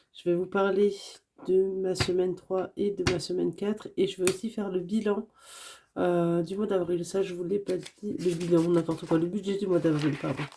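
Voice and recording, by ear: A woman's dark, mellow voice, fairly low in pitch, with a slightly husky edge, vocal fry, fairly even intonation and a moderate pace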